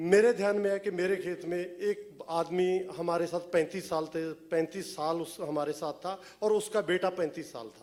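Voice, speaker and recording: Speaking with hardly any pauses, a man with a Punjabi accent uses a high pitch and fairly even intonation over noticeable background noise. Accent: Punjabi-accented Hindi. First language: Punjabi (speaking Hindi). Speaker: film writer. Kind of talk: press event talk.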